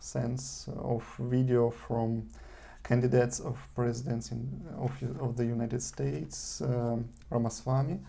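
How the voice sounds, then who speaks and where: A man speaks at a fairly slow pace. Room echo is audible. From eastern Ukraine (Donetsk), Russian-speaking. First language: Russian. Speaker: vlogger. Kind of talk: video monologue. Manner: halting, many fillers.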